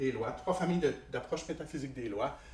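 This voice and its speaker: Very wide pitch swings from a man, with audible room echo. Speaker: philosophy professor. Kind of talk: lecture. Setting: conference hall with audience.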